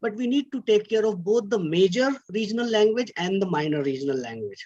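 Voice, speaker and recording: The pace stays moderate. An Indian accent is heard throughout. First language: Hindi. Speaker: academic speaker. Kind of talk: lecture. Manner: halting.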